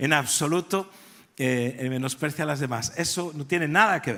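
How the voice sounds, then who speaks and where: Speaking in a Galician accent, a man keeps a moderate pace at a fairly high pitch. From Galicia, Spain. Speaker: pastor. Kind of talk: sermon.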